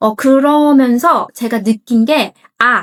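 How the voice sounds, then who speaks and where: The voice belongs to a woman with a fairly high pitch. It sounds dry and close, with no echo. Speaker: English coach. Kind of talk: casual talk to camera.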